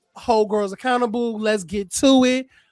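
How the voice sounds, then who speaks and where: This man's voice is high and loud, with a monotone, flat intonation. He talks at a moderate pace, and the sound is dry and close with no echo. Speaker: podcast host recapping reality TV. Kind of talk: casual chat.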